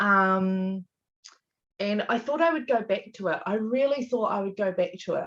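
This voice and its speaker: Her voice is fairly high, and this woman's intonation is lively. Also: moderate pace. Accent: Australian. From Australia. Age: 30s. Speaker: small business owner and mother. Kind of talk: interview.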